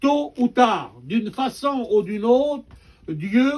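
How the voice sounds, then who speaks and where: Lively intonation marks this man's voice, which has a dark, mellow tone. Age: 70s. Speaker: preacher. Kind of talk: sermon.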